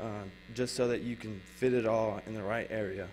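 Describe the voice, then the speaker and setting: A man speaks at a moderate pace with ordinary pitch variation. Light background noise is present. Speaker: guest. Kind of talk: interview answer. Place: studio. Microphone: handheld.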